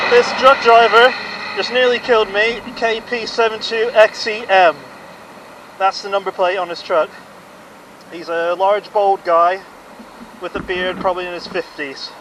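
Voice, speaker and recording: Noticeable background noise sits under speech that stops often for long pauses. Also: moderate pace. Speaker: cyclist. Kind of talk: evidence recording to camera. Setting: outdoors.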